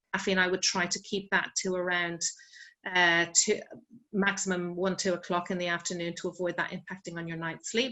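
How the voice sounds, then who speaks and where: Fairly quick speech in an Irish accent with monotone, flat intonation. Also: woman, medium pitch for a woman. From Ireland. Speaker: sleep expert. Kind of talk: online wellbeing talk. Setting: video call.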